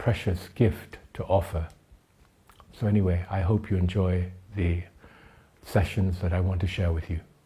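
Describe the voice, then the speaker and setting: A man's fairly low, somewhat breathy voice, dark and mellow in tone, with monotone, flat intonation. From Thailand, educated in the UK. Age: 70s. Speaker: tai chi teacher. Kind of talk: talk to camera, then scripted explanation.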